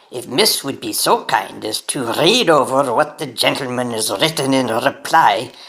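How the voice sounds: A woman does a put-on character voice at an extremely low pitch, with a fairly bright tone, lively intonation and a moderate pace.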